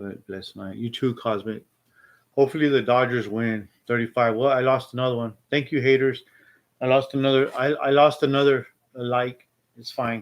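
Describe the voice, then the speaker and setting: A man's medium-pitched voice, an ordinary speaking voice, at a fairly quick pace with fairly even intonation and big swings in loudness. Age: 60s. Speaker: live streamer. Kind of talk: casual live stream chat.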